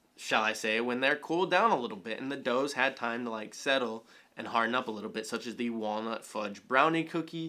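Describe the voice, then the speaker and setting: With hardly any pauses, a man with a medium-pitched, bright, sharp tone talks at a fairly quick pace with ordinary pitch variation. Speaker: YouTube comedy reviewer. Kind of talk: video review commentary. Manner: fast.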